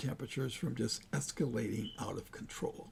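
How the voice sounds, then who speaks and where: A man with an American accent talks in a dark, mellow tone that is somewhat breathy. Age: 80s+. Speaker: climate data analyst, channel creator. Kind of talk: narrated slide presentation. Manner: casual, halting with fillers.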